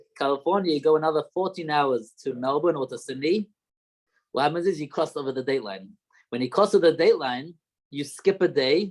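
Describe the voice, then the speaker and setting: A man with a slight Australian accent and a fairly high pitch talks at a fairly quick pace with ordinary pitch variation. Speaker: rabbi. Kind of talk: lecture. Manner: halting.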